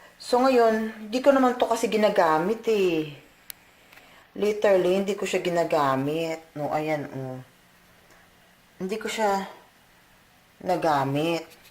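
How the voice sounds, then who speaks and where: A woman's medium-pitched voice with long, frequent pauses, big swings in loudness, and noticeable background noise. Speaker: beauty vlogger. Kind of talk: casual vlog talk. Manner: rambling, hesitant.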